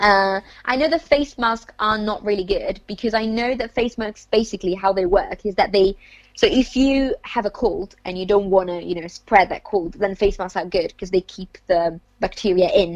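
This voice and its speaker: Her pitch is medium and shifts in ordinary ways as this woman talks at a moderate pace. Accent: Italian. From northern Italy, Lombardy. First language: Italian. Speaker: university student. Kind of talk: casual chat.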